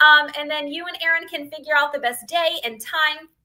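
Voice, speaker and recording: A woman with an American accent uses a raised, projected voice. Her pitch swings very widely. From northeastern Pennsylvania, near Scranton. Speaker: beauty sales consultant. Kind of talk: sales pitch on a livestream. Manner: fast; animated.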